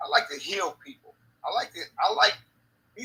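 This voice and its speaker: Raising and projecting his voice, a man speaks at a moderate pace in a bright, sharp tone. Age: 60s. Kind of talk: casual chat.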